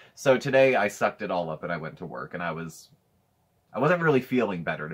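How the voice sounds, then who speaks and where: A man's very deep, low voice with vocal fry, very wide pitch swings, big swings in loudness, and a very fast pace, over a quiet background. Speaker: vlog co-host. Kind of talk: casual vlog chat. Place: home room. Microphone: phone near.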